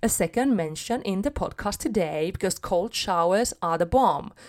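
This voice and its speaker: In a non-native accent, a woman speaks at a fairly slow pace with ordinary pitch variation on a very clean recording with a silent background. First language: not English. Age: 30s. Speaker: podcast host, motivational coach. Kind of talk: motivational solo podcast talk.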